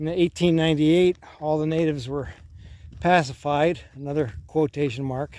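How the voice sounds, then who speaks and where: Using a dark, mellow tone, a man speaks at a fairly high pitch and a moderate pace with ordinary pitch variation. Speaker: older man presenting a persona of 'Grandpa' who addresses 'grandkids'. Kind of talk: casual talk to camera, rambling outdoor vlog. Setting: outdoors on a hike. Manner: casual, conversational, rambling.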